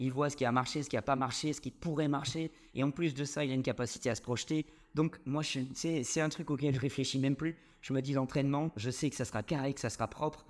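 A man talks at a fairly quick pace with a fairly high pitch and a plain, everyday voice. The recording is very clean, with a silent background. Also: fairly even intonation. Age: 20s. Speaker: CrossFit gym co-owner. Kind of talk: casual interview.

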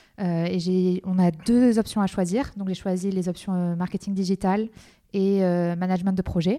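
A woman with a dark, mellow tone speaks at medium pitch and a fairly slow pace in a monotone, flat delivery. The recording is very clean, with a silent background. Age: 20s. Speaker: business school student. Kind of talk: interview.

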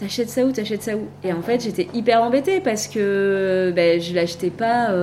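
A woman's moderately paced speech over noticeable background noise. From Var, southern France (Hyères). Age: 30s. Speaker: entrepreneur, cancer survivor. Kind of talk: casual interview. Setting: in person at guest's office.

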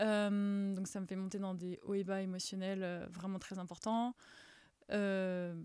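A woman's medium-pitched voice, monotone and flat, at a very slow pace. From France, Paris. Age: 30s. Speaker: former tennis player and sports presenter. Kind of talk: podcast interview. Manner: halting.

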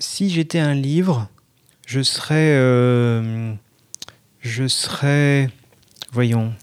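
A man at a medium pitch talks very slowly, pausing long and often, with ordinary pitch variation. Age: 30s. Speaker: art director sharing reading habits in listener segment. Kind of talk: casual personal testimony.

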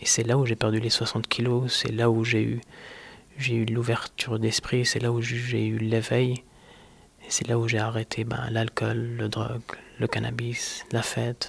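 In a calm tone, a man speaks at medium pitch and a fairly slow pace with monotone, flat intonation. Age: 30s. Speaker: person living with multiple sclerosis. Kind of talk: personal testimony interview.

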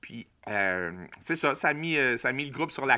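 In a Quebec accent, a man speaks at a moderate pace with a bright, sharp tone. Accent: Québécois French. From Quebec, Montreal. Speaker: music enthusiast. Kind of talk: casual chat.

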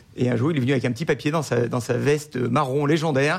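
At a moderate pace, a man talks with vocal fry, his medium pitch varying in an ordinary way. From northern Rhône valley, France. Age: 40s. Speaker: winemaker. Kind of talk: radio interview. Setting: restaurant with live audience. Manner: halting.

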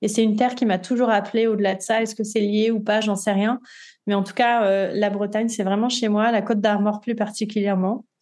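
A woman talks at a fairly quick pace with a fairly high pitch. Her loudness stays very even and her intonation is monotone and flat. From southern France, Nice. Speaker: yoga guide and tarot practitioner. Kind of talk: interview, casual conversation; guided meditation instructions.

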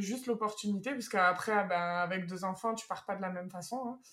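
At a fairly quick pace, a woman with a plain, everyday voice speaks at a medium pitch with ordinary pitch variation. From France. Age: 30s. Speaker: expatriate interviewee. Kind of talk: interview.

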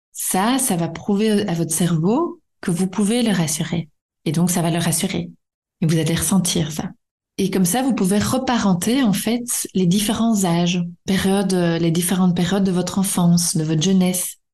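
A woman's medium-pitched, somewhat breathy voice, dark and mellow in tone, at a moderate pace with ordinary pitch variation and very even loudness. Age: 30s. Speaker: psychologist and podcast host. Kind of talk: solo podcast lecture. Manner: hesitant, many fillers.

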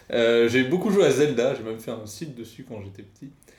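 A man speaks at a moderate pace in an unremarkable speaking voice. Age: 30s. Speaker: podcast co-host, game developer. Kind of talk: casual chat.

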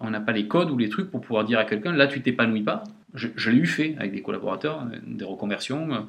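At a fairly quick pace, a man talks with lively intonation. His pitch is medium. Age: 40s. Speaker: company director. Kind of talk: interview. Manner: hesitant.

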